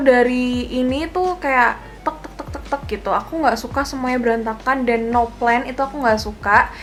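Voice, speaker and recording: A woman speaks loudly at a high pitch and a fairly quick pace. Her intonation stays fairly even, with music in the background. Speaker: beauty vlogger. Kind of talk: casual vlog talk to camera. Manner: loud laugh.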